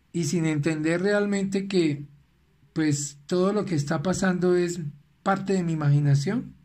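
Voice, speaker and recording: In a room with audible echo, a high-pitched man speaks at a fairly slow pace, his intonation fairly even and his loudness very even. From Venezuela. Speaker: life coach. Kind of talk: recorded motivational talk.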